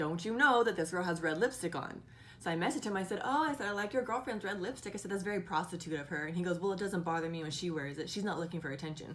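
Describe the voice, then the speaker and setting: A woman with a medium pitch speaks very fast, her intonation lively and her tone animated. Noticeable background noise runs behind her. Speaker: vlogger and part-time model. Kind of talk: casual vlog storytelling. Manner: loud.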